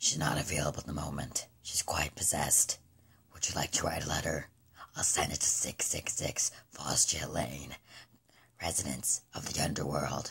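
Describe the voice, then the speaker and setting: A put-on character voice, raspy and very deep, moves along at a moderate pace. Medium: dub. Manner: menacing, mocking.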